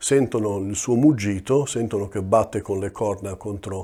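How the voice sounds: Here a natural reading voice comes with ordinary pitch variation.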